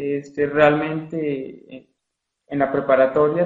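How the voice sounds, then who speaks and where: This man's voice sits fairly high and keeps a fairly even intonation. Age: 20s. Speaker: recent accounting graduate. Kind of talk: interview.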